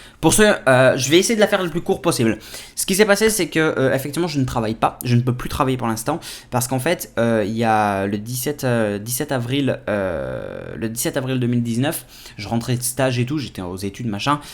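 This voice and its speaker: A man at a medium pitch talks at a fairly quick pace with lively intonation. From France. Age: 20s. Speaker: tech YouTuber. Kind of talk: casual Q&A vlog. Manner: hesitant, many fillers.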